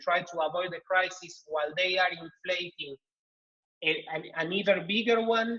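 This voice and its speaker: In a Spanish accent, a man with a high, raised and projected voice and a bright, sharp tone speaks at a fairly slow pace with ordinary pitch variation. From Argentina. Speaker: think-tank economist, panelist. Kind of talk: online panel discussion. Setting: video call. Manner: halting, many repetitions and fillers.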